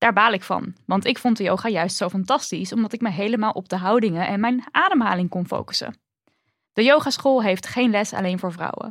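A woman's normal speaking voice, medium in pitch with ordinary pitch variation, at a fairly quick pace, on a very clean recording with a silent background. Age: 30s. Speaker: podcast co-host. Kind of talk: casual chat.

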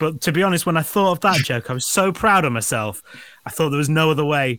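A man talks in a Yorkshire accent with a fairly high pitch. His tone is bright and sharp, and his intonation is lively. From northern England. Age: 40s. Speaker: podcast host. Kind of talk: casual chat.

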